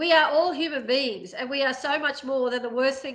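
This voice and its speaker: A woman's fairly quick speech with an Australian accent and ordinary pitch variation. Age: 50s. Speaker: prison abolition advocate, charity CEO. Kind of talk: interview. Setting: podcast recording.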